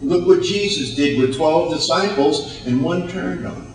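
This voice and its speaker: Noticeable background noise can be heard. The voice rises and falls in a lively way. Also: man. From United States. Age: 60s. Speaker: motivational speaker. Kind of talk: motivational speech. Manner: animated.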